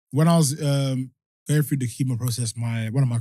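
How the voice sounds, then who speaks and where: Medium-pitched London accent from a man, dark and mellow in tone with ordinary pitch variation, in a dry, close sound with no echo. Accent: London English, multicultural. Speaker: music producer and cancer survivor. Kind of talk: casual podcast chat. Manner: fast.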